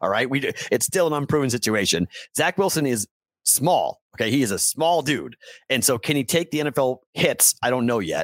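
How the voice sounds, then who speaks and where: In an ordinary speaking voice, a man at medium pitch talks at a moderate pace with lively intonation and very even loudness. The sound is dry and close with no echo, a very clean recording with a silent background. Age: 40s. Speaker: sports betting podcast host. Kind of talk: casual interview chat.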